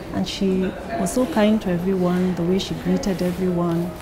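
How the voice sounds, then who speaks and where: At a moderate pace, a woman speaks at a medium pitch over noticeable background noise. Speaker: friend giving testimonial. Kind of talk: testimonial. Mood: warm, admiring. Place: home room.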